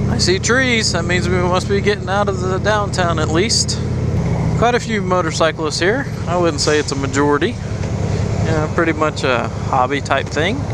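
Heard over loud background noise, a man speaks at a moderate pace in a dry sound with no echo. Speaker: motovlogger. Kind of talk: casual vlog chat. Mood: upbeat, amused. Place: motorbike.

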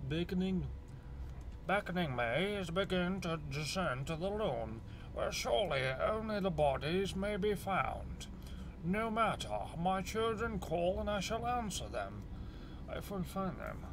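A man puts on a character voice pitched high, pausing long and often. Background noise is clearly audible. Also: moderate pace. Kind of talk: reading game text aloud. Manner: theatrical, ominous.

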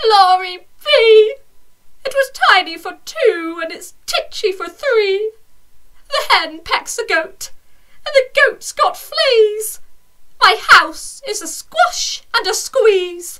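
A woman's put-on character voice at an extremely high pitch and a very slow pace, with lively intonation and big swings in loudness. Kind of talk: bedtime story. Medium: read story.

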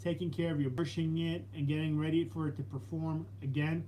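A man with an American accent, fairly high in pitch, with a dark, mellow tone, somewhat breathy, over light background noise. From New York City (Brooklyn); New York City. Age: 30s. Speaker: fitness channel host, Marine veteran; fitness vlogger. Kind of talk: live stream Q&A chat. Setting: live stream. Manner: halting, repetitive. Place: home room. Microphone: phone near.

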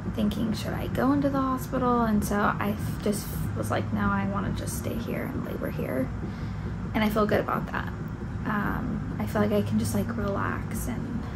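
Loud background noise fills the recording. A woman talks over it at a moderate pace. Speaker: vlogger in labor. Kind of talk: casual vlog chat. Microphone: phone near.

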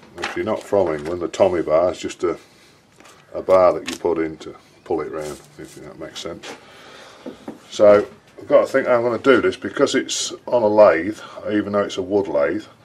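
Over light background noise, a man speaks at a moderate pace, with big swings in loudness and long, frequent pauses. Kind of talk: tutorial. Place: workshop.

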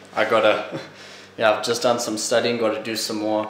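Over light background noise and audible room echo, a man speaks in a fairly low pitch. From Zimbabwe. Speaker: vlogger. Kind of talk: casual vlog. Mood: tired but upbeat. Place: home room. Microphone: phone near.

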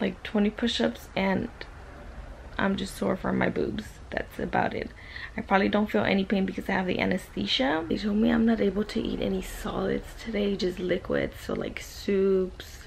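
Over light background noise, a woman speaks at a moderate pace. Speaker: vlogger after surgery. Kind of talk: casual vlog chat. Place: home room. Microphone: phone near.

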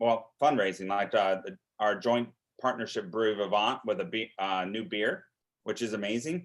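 A man with a normal speaking voice talks at medium pitch, his pitch varying in an ordinary way. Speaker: zoo director presenting to county board. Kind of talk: presentation.

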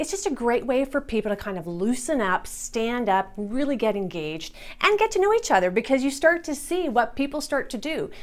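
A woman talks at a fairly quick pace with hardly any pauses, her high voice enthusiastic and full of very wide pitch swings. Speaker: business productivity specialist and meeting facilitator. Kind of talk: tutorial. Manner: occasional pauses and word switches. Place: studio. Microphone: lapel.

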